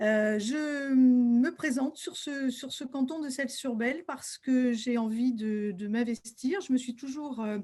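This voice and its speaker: The speaker talks at a very slow pace with hardly any pauses. The tone is dark and mellow, with ordinary pitch variation. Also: woman, high pitch for a woman. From western France, Deux-Sèvres. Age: 60s. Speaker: school principal and local candidate. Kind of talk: self-presentation. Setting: video call from her office. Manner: hesitant, frequent fillers.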